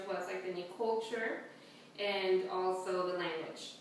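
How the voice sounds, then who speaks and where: Speaking fairly slowly in a Spanish accent, a woman is heard with audible room echo and noticeable background noise. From El Salvador, moved to Houston as a child. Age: 20s. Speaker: student. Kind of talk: class speech with show-and-tell objects. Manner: hesitant with frequent fillers.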